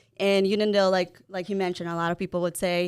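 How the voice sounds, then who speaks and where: A woman with a Spanish accent is captured in a very clean recording with a silent background. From El Salvador, then Long Island, New York. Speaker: mortgage broker, podcast co-host. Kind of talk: interview.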